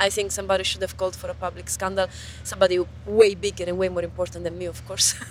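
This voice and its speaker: A woman talking at a very fast pace amid noticeable background noise. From Italy. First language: Italian. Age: young. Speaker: researcher and open science advocate. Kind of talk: interview. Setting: outdoors by a river. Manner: animated.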